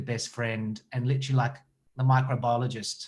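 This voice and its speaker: A somewhat breathy man with an Australian accent. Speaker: actor and director. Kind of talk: interview.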